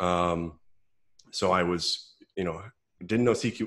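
Against a quiet background, a man talks in a very deep, low pitch. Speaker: guest. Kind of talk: interview answer. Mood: relaxed, amused. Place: home room. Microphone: earbuds.

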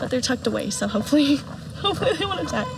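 A woman's speech is heard with clearly audible noise in the background. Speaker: travel vlogger. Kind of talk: casual vlog chat. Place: forest. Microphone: phone near.

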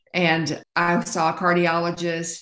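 In a quiet room with audible echo, a woman speaks in a fairly low voice. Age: 70s. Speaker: interviewee sharing health journey; interview guest. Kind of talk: interview testimony. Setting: interview. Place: home room. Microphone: video call.

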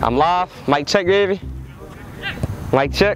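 Faint background noise sits behind a man who speaks at a very slow pace with a high pitch for a man.

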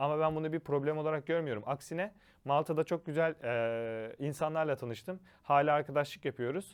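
Against a quiet background, a man with a plain, everyday voice talks at a moderate pace, fairly high in pitch for a man and with ordinary pitch variation. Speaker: study-abroad education consultant. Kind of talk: informational monologue.

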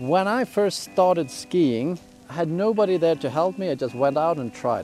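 A man speaks over faint background music, and the sound is dry with no echo. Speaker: ski instructor. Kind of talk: tutorial. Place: open country.

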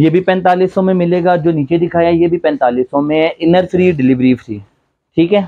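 A man with a dark, mellow tone and fairly even intonation talks over light background noise. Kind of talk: sales product presentation. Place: shop. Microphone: lapel.

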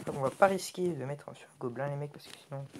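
Noticeable background noise runs under the recording. A man speaks at a fairly quick pace with a fairly high pitch. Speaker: gaming youtuber. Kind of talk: casual gameplay commentary. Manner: halting.

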